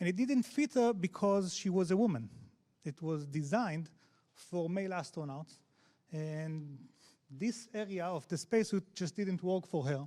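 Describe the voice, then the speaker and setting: On a very clean recording with a silent background, a man with a strong Israeli accent, a high pitch and a dark, mellow tone speaks at a moderate pace with lively intonation. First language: Hebrew. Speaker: head of accessibility at a tech company. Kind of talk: conference talk. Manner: halting, many fillers.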